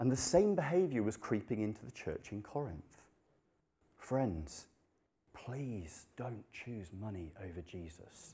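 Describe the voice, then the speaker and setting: Pitched fairly low, a man's dark, mellow, somewhat breathy voice moves at a fairly slow pace, with very wide pitch swings and big swings in loudness. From Nepal. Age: 30s. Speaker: preacher. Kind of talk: sermon.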